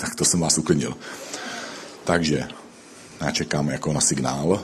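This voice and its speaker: In a room with audible echo and noticeable background noise, a man speaks with a very deep, low pitch in a monotone, flat intonation, leaving long, frequent pauses. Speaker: pastor. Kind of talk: sermon.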